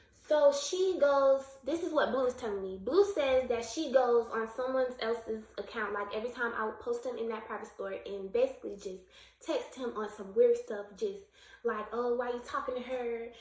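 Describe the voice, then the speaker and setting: A woman's high voice at a moderate pace with ordinary pitch variation, over noticeable background noise. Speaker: YouTube storyteller. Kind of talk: storytime vlog. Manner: stuttering.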